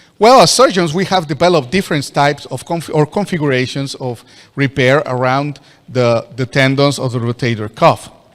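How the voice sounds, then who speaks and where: A man with a Spanish accent, fairly high in pitch, at a fairly quick pace, with ordinary pitch variation. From Mexico. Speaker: orthopedic surgeon. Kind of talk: lecture. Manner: halting.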